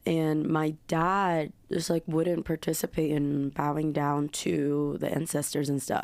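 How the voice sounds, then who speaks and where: A woman speaks at a fairly slow pace with a very deep, low pitch, monotone, flat intonation and very even loudness. She hardly pauses, and the recording is very clean with a silent background. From Korea, raised partly in US. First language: Korean. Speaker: singer-songwriter. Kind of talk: casual chat.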